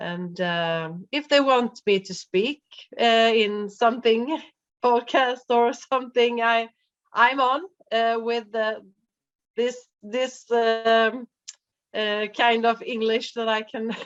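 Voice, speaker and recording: With a non-native accent, a woman with a fairly high pitch speaks at a very slow pace, taking long, frequent pauses, with ordinary pitch variation. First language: Swedish. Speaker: life coach and birth worker. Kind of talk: interview. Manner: halting, many fillers.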